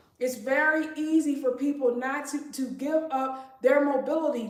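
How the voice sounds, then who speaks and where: Against audible room echo, a woman speaks at a high pitch in a monotone, flat intonation. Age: 40s. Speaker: fitness livestreamer. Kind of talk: live workout stream chat.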